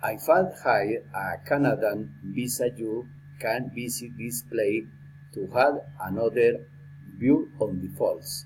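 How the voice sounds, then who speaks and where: A man speaks at a very slow pace in a somewhat breathy voice, at a medium pitch with ordinary pitch variation. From Colombia. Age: 60s. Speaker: lawyer and language student. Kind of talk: prepared speaking exercise. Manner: halting.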